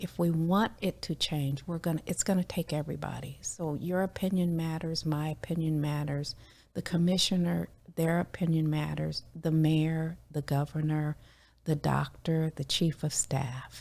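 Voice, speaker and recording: A somewhat breathy, monotone voice with flat intonation at a moderate pace, on a very clean recording with a silent background. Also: woman, very deep, low pitch for a woman. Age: 60s. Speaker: community member sharing oral history. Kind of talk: interview.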